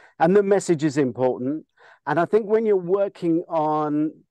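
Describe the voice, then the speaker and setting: In a normal speaking voice, a man talks at a moderate pace with lively intonation, the sound dry and close with no echo and the background quiet. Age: 60s. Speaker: film industry veteran and director. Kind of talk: interview.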